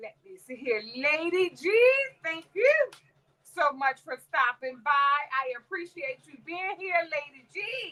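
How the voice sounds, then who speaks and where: A woman talks very slowly in a raised, projected voice. Her tone is bright and sharp, with lively intonation. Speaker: crafting livestream host. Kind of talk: casual live stream chat.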